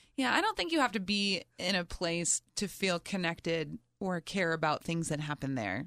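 A woman with an American accent, an ordinary speaking voice, fairly low pitch, moderate pace and hardly any pauses. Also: lively intonation. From New Jersey. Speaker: comedian and radio host. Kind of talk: casual interview chat. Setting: studio.

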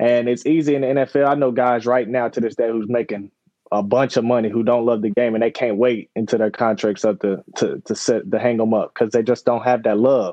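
A man's medium-pitched voice, dark and mellow in tone, at a fairly quick pace with fairly even intonation

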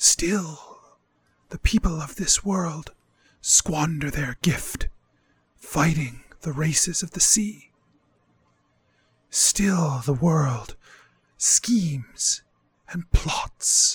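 A man whispers in a put-on character voice at a very slow pace. Long, frequent pauses break up his speech. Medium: actual play. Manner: whispering.

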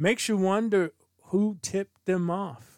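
A man talks at a very slow pace, his voice dry and close with no echo. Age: 60s. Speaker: sports podcast host. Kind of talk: solo commentary podcast.

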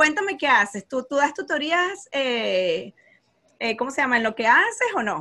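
A high, raised and projected woman's voice at a fairly slow pace, with very wide pitch swings. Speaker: podcast host, math content creator. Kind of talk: casual interview chat.

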